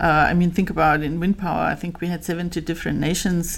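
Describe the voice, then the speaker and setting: A fairly low-pitched woman's voice in a German accent, with monotone, flat intonation. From Bavaria, Germany. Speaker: company finance executive. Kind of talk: interview.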